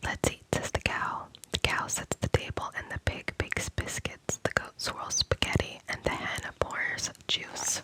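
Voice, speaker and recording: Whispering at a fairly slow pace, a woman is captured with a dry, close sound and no echo, though noticeable background noise is present. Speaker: ASMR creator. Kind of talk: ASMR children's book reading for sleep. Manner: soft-spoken, whispering.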